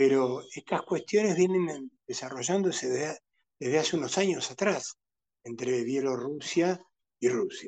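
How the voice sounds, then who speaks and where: Using an unremarkable speaking voice, a man talks at a fairly slow pace. His fairly high pitch carries lively intonation. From Argentina. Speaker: international analyst. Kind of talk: interview.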